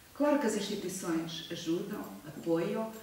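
A woman speaks very slowly amid strong room echo and light background noise. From Portugal, Viseu district (Mangualde). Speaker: sociologist and member of parliament. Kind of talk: public lecture. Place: hall. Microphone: camera far.

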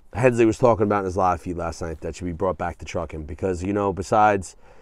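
Fairly low-pitched male voice with a dry sound, no echo, and a quiet background. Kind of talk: casual vlog chat. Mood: reflective, earnest. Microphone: phone near.

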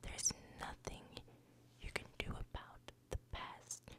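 A woman is speaking. She whispers. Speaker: ASMR creator. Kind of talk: ASMR positive affirmations. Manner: whispered, soft. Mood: soothing and reassuring. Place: home room. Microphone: studio mic.

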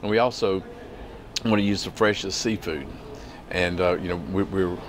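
A man with a very deep, low voice speaks at a moderate pace with fairly even intonation over noticeable background noise. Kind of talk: interview answer. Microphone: lapel.

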